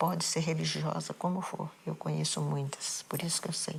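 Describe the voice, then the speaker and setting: A woman with a very deep, low pitch and monotone, flat intonation, at a moderate pace. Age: 70s. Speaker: bereaved mother. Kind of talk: interview testimony.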